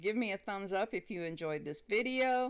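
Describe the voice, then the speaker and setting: Her pitch rises and falls normally as a woman talks. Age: 60s. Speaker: craft youtuber. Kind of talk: tutorial. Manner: halting, many fillers.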